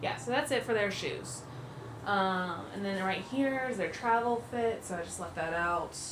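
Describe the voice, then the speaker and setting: A woman's medium-pitched voice with lively intonation at a moderate pace, audible room echo and noticeable background noise. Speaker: family travel vlogger. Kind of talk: casual packing tutorial vlog. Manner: casual, chatty with fillers; quiet, hushed.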